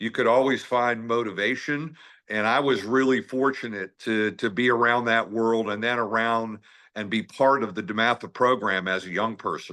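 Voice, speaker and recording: A man with a slight Maryland accent, medium pitch, bright, sharp tone, fairly even intonation and moderate pace, over a quiet background. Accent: slight Maryland twang. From Washington, D.C. area / Maryland. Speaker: basketball coach. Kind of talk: interview.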